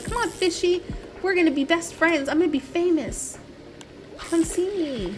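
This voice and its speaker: A squeaky, cartoonish character voice at a moderate pace, broken by long, frequent pauses. Clear music plays in the background. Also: woman, extremely high pitch for a woman. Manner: peppy, cheerful. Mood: playful.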